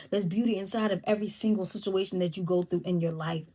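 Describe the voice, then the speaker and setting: On a very clean recording with a silent background, a woman talks at a very fast pace in a somewhat breathy voice with ordinary pitch variation. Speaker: YouTube host giving relationship advice. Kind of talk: casual monologue to camera. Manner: animated.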